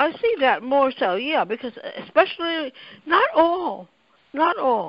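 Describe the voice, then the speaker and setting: A woman with an American accent speaks at a fairly slow pace in a high voice, her pitch swinging very widely. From United States. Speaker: anthropologist and NGO director. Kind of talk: interview answer.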